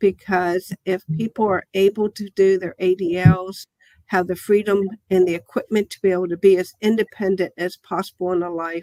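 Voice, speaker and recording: A woman's dark, mellow voice sits at a medium pitch with flat, monotone intonation and big swings in loudness. She keeps a moderate pace, and the sound is dry and close with no echo. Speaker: therapy company CEO. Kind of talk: presentation on video call. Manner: stammers at times when public speaking.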